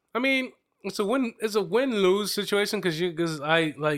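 An animated man with an American accent and lively intonation, in a very clean recording with a silent background. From Reading, Pennsylvania, US. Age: 30s. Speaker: podcast host. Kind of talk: casual chat, interview over wine. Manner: joking, teasing, animated.

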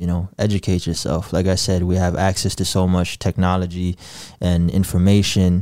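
In an Upper Midwest accent, a man with a very deep, low pitch speaks at a moderate pace in monotone, flat intonation and very even loudness, on a very clean recording with a silent background. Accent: Upper Midwest American. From Sioux Falls, South Dakota (born in Gambia). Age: 20s. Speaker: community organizer and poetry project leader. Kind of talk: casual interview.

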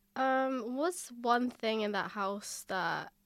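A woman speaks in an English accent with ordinary pitch variation. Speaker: podcast host, university student. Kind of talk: casual chat.

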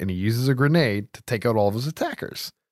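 A man with a Southern US accent speaks at a fairly quick pace with lively intonation, in a very clean recording with a silent background and a dry, close sound with no echo. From US South. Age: 30s. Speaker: horror film podcast host. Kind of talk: casual chat.

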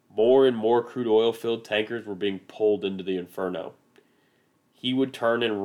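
A man talks with a Midwestern American accent at a moderate pace. His pitch is fairly low and his intonation fairly even. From US Midwest. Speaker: podcast host. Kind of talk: scripted narration.

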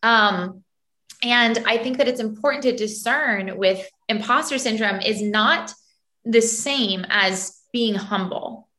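This woman has an American accent and a fairly high pitch with a bright, sharp tone. She speaks at a very slow pace with ordinary pitch variation. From US, Florida and New York City. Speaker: podcast co-host, former ballet dancer. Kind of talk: casual chat.

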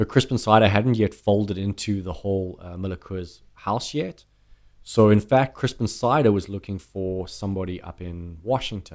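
Someone with a South African accent talks at a moderate pace with ordinary pitch variation and big swings in loudness against a quiet background. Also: man, fairly low pitch for a man. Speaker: brandy sales manager. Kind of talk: casual chat.

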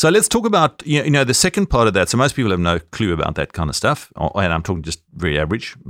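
A man with a South African accent talks at a very fast pace with hardly any pauses and very wide pitch swings. The recording is very clean with a silent background, and the sound is dry and close with no echo. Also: medium pitch for a man. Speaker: podcast co-host, former accountant. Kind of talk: casual chat.

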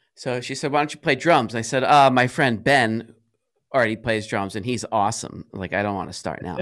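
A man with an American accent has a normal speaking voice at a medium pitch, with ordinary pitch variation and a fairly quick pace. The recording is very clean, with a silent background. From US Northeast, Rhode Island. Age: 40s. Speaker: music school owner. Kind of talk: podcast interview. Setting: studio. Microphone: studio dynamic mic, good quality.

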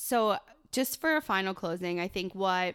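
On a very clean recording with a silent background, a woman with an American accent uses an unremarkable speaking voice at medium pitch, her intonation lively. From Buffalo, New York. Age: 30s. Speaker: podcast co-host, business owner. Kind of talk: casual chat.

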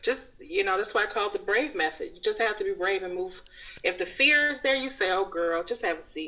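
Fairly high in pitch, a woman talks at a fairly quick pace in an ordinary speaking voice. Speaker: writer and podcast host, hairstylist. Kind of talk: casual interview chat.

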